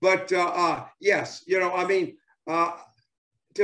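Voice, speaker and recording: In an American accent, a man speaks with a high pitch and fairly even intonation at a moderate pace against a quiet background. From US South. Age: 70s. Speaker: former professional baseball player. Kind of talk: interview. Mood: enthusiastic, nostalgic. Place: home room. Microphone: video call.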